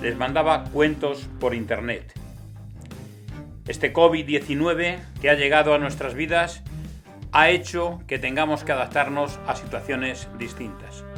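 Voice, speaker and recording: Speech moves at a fairly slow pace with long, frequent pauses. Music plays in the background. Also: man. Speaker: radio host. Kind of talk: interview introduction.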